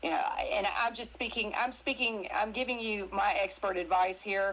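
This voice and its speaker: Her pitch is medium and her pitch variation ordinary as a woman talks at a moderate pace. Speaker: actress and crypto interview guest. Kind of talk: casual chat. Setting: live audio stream on social media. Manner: animated.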